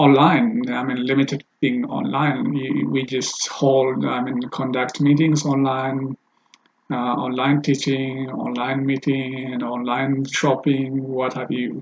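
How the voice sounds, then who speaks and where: The speaker talks at a very slow pace in a flat monotone. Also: man, medium pitch for a man. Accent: Ethiopian. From Ethiopia. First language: Amharic. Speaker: language teacher and translator. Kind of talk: casual video introduction. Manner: halting, many fillers.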